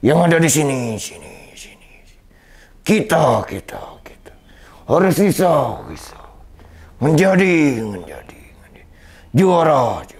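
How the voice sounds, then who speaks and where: Using a cartoonish character voice at a fairly high pitch, a man speaks at a fairly slow pace with long, frequent pauses. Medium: puppet. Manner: repeats words like an echo.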